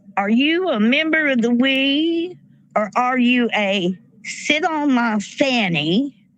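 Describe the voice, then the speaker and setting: A high-pitched woman with an American accent, very slow pace and very even loudness, against noticeable background noise. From rural US, farm upbringing. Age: 60s. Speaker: army veteran and protest speaker. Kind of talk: rally speech. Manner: animated.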